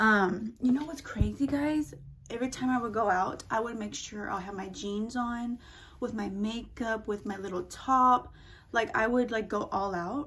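There is light background noise as a woman talks with ordinary pitch variation. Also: moderate pace. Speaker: vlogger. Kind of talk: casual vlog chat. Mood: playful, chatty. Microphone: phone near.

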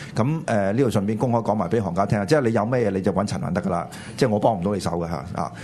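Speaking at a very fast pace, a man uses a fairly low pitch and lively intonation. Noticeable background noise and audible room echo surround him. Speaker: political talk show co-host. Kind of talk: political commentary chat. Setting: studio with live audience.

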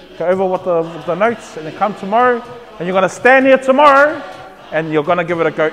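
Someone talks at a very fast pace. Faint music plays underneath. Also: man. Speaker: cultural class teacher. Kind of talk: lecture. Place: hall. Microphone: lapel.

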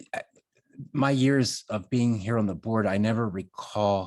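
Soft-spoken at a moderate pace with ordinary pitch variation, the voice sits in a very clean recording against a silent background. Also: man. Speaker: town commissioner. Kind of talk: public meeting questions. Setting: town board meeting.

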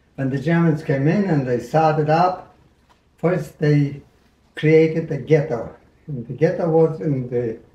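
A fairly high-pitched man's voice with a dark, mellow tone and ordinary pitch variation, at a fairly slow pace with long, frequent pauses, in audible room echo. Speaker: Holocaust survivor. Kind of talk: interview answer. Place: kitchen.

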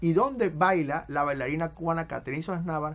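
A man with a high voice talks fairly quickly, his pitch moving in an ordinary way. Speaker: TV program host. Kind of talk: TV presenter intro and interview questions. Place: studio.

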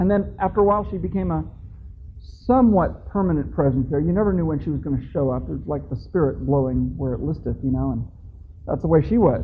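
Against light background noise, a man talks at a very fast pace. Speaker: conference speaker. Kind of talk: lecture with personal anecdote. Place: hall.

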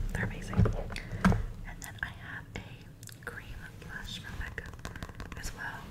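Whispering in a relaxed tone, a woman speaks. Noticeable background noise runs underneath. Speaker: ASMR creator. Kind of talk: ASMR whisper ramble. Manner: whispered, soft-spoken, relaxed.

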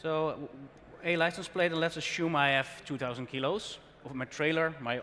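Over light background noise, a man talks with a Dutch accent. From Netherlands. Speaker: tech presenter; presenter. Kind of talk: live tech demo. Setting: conference stage with audience. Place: hall.

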